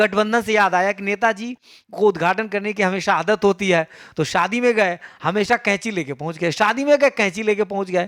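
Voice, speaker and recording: A man speaks at a high pitch with a Bihar accent. His pace is moderate, his pitch variation is ordinary, and the recording is very clean with a silent background. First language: Maithili (speaking Hindi). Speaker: school teacher. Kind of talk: exam paper solution tutorial. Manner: casual, conversational.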